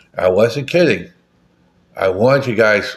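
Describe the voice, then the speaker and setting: Speech at a moderate pace, the recording very clean and the background silent. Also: man. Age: 60s. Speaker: political podcast host. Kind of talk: solo political commentary monologue. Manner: halting, many fillers.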